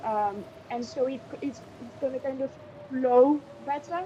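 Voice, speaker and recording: A woman with a high pitch and ordinary pitch variation speaks at a very slow pace against noticeable background noise. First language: French. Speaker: French tutor. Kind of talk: language lesson.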